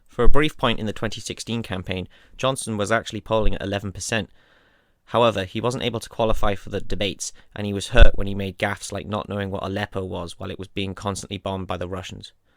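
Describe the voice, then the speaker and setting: Talking at a very fast pace in a fairly low pitch, a man shows fairly even intonation but big swings in loudness, in a very clean recording with a silent background. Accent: British. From United Kingdom. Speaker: political explainer video creator. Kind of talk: informal lecture.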